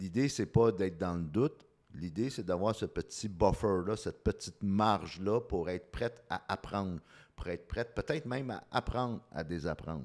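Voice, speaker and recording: A man speaks in a plain, everyday voice with a fairly low pitch. His intonation is lively and his pace moderate. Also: very clean recording, silent background. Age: 50s. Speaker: communication coach. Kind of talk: interview.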